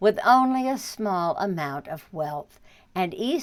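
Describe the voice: The speaker is doing plain reading aloud with lively intonation.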